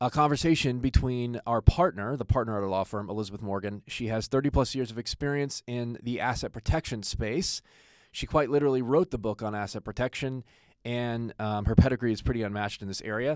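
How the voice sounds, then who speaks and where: In an unremarkable speaking voice, a man of medium pitch talks at a fairly quick pace with ordinary pitch variation, the recording very clean and the background silent. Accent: American. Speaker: attorney and podcast host. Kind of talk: podcast introduction. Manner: casual, joking.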